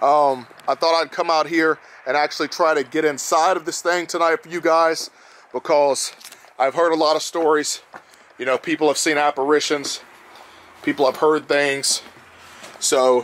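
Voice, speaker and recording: A man's monotone, flat delivery with long, frequent pauses, dry with no echo. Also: moderate pace. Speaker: paranormal vlogger. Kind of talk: casual vlog chat. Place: open country. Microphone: phone near.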